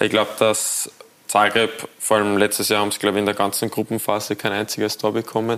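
A man's fairly low-pitched, monotone, flat voice at a very fast pace, with noticeable background noise. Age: 20s. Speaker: professional footballer. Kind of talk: TV studio talk interview. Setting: TV studio.

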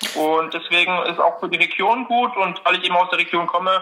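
The pace is moderate. A man's voice sits at a high pitch. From Dresden, Saxony, Germany. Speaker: student, quiz contestant. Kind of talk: casual chat.

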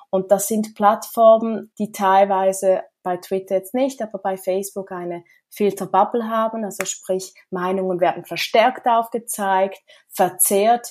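A woman's unremarkable speaking voice at medium pitch, fairly slow, with fairly even intonation. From Switzerland. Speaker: smart city association co-president. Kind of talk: interview.

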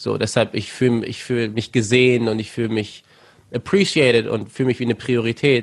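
A man with a plain, everyday voice speaks at a fairly quick pace in a medium pitch with fairly even intonation. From Germany, Lüneburg (Lower Saxony). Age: 20s. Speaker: rapper. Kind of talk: interview.

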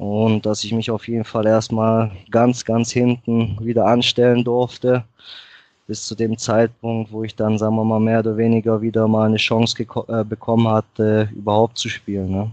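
Intonation stays monotone and flat. The man keeps a moderate pace. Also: medium pitch for a man. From Germany. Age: 20s. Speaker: football player and club office manager. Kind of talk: podcast interview. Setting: Skype call.

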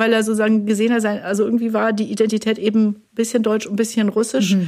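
Here is a plain, everyday voice. A woman speaks at a fairly high pitch and a moderate pace. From Germany, Hesse. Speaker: linguistics professor. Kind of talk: casual chat. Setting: studio.

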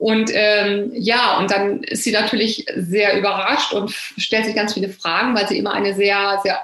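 Noticeable background noise runs behind a woman speaking at a medium pitch. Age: 50s. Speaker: novelist and health journalist. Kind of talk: interview about her book.

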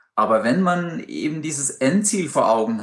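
Lively intonation runs through a normal speaking voice. The delivery is fairly slow. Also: man. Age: 40s. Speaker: amateur open-water swimmer. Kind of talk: interview.

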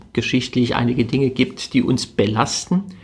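Somewhat breathy, a man's medium-pitched voice shows ordinary pitch variation. He speaks at a fairly slow pace. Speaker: religious podcast host. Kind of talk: spiritual reflection.

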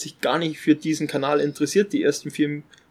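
This man keeps his intonation fairly even. He speaks at a fairly quick pace. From Upper Bavaria. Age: 30s. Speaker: finance influencer and soldier. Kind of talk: casual interview. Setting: outdoors on a farm terrace. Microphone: poor sound quality.

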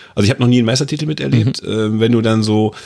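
A man speaks in an ordinary speaking voice at a medium pitch. He moves at a fairly quick pace with ordinary pitch variation. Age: 30s. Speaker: football pundit. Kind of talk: casual football discussion.

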